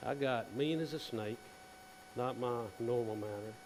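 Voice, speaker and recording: A man's medium-pitched voice with a Southern US accent and ordinary pitch variation, plus audible room echo and noticeable background noise. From South Carolina. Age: 60s. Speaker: dentist. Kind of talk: conference presentation. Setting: stage with audience. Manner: casual.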